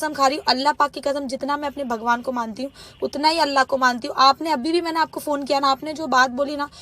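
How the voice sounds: Speaking at a fast pace, a woman uses a high-pitched, bright, sharp voice with fairly even intonation.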